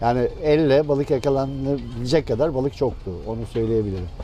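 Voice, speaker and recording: Noticeable background noise sits behind a man speaking at medium pitch. He talks at a fairly quick pace with ordinary pitch variation. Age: 60s. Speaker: fisherman, former cooperative head. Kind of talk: interview. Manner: hesitant, many fillers.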